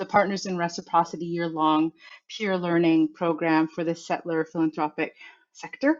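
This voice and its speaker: Speaking fairly quickly, a woman uses a normal speaking voice at a medium pitch. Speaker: workshop facilitator. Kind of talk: online workshop presentation. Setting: online video conference.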